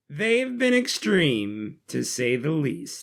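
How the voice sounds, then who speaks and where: A man in a put-on character voice talks very slowly, his pitch fairly high. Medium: read story.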